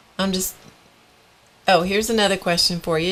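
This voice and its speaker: The woman speaks at a medium pitch with ordinary pitch variation. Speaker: live stream art show host. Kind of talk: casual chat. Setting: live stream. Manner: loud.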